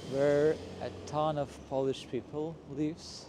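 Over noticeable background noise, a man speaks at a very slow pace with a dry sound that has no echo. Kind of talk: casual vlog chat. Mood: quiet, slightly self-conscious. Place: street. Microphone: phone near.

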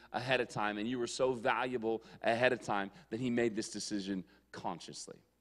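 With a quiet background behind him, a man speaks at a fairly quick pace. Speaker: youth pastor. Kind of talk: sermon. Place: church. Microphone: handheld.

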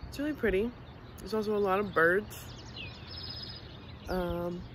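A woman talks at a moderate pace with ordinary pitch variation. The sound is dry with no echo, though background noise is noticeable. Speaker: family vlogger. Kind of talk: casual vlog chat. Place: open country. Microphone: phone near.

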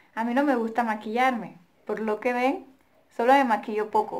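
With ordinary pitch variation, this speech keeps to a moderate pace. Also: woman. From Colombia. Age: 20s. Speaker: vlogger. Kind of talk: casual Q&A vlog. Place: home room. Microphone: phone near.

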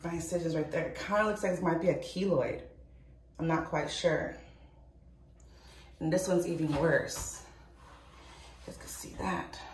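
A woman at a moderate pace, with long, frequent pauses, big swings in loudness, audible room echo and light background noise. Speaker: vlogger. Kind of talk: casual vlog. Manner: halting, repetitive. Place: bathroom. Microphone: phone near.

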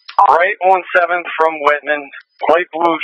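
A man's fairly high, bright, sharp voice with an American accent, moderate in pace and fairly even in intonation, in a dry, close sound with no echo.

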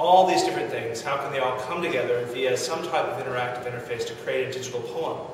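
Strong room echo and noticeable background noise surround a man whose intonation stays fairly even. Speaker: digital poet. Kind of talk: informal talk to camera. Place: office. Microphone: camera far.

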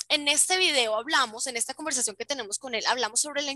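Recorded with a dry, close sound and no echo, a woman speaks in a bright, sharp tone with ordinary pitch variation. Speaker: flight attendant. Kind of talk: educational talk over video call.

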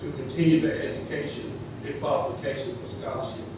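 A fairly quick man amid noticeable background noise and strong room echo. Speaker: public commenter at board meeting. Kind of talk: public statement. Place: hall.

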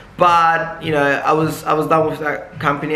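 A man's speech rings with audible room echo. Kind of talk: casual vlog chat. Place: shop.

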